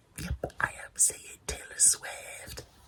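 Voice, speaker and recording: A man speaks over noticeable background noise. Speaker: vlogger. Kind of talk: casual vlog chat. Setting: at home.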